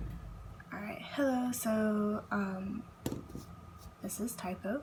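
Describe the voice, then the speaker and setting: A woman's shaky voice at a very slow pace, over noticeable background noise. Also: medium pitch for a woman, fairly even intonation. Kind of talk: casual talk to camera. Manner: slightly shaky, breathless.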